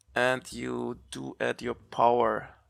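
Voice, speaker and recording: A man speaks on a very clean recording against a silent background. The sound is dry and close, with no echo. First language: not English (English is third language). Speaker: gaming youtuber. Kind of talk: gameplay commentary. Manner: thinking aloud, hesitant.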